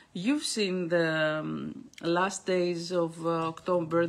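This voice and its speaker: The speaker has a Greek accent and a monotone, flat intonation. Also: woman. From Greece. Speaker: astrologer. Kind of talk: monthly astrology forecast broadcast. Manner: halting, many fillers.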